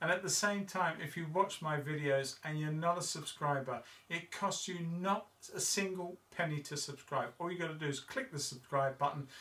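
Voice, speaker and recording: Over audible room echo, a man speaks at a moderate pace and a fairly high pitch, with ordinary pitch variation. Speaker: model railway hobbyist vlogger. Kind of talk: casual hobby vlog. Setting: cold garage.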